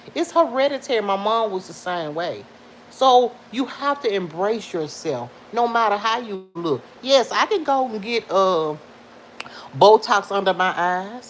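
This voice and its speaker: Animated in tone, a woman speaks at a fairly slow pace with a fairly high pitch and lively intonation. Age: 50s. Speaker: livestream vlogger. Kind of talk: casual chat with live viewers. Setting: at home.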